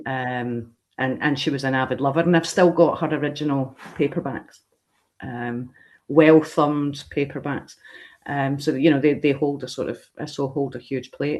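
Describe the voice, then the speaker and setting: Speaking at a moderate pace, a woman has a very deep, low pitch and fairly even intonation. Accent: Scottish. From Scotland. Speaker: horror convention organizer. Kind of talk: interview. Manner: halting, many fillers.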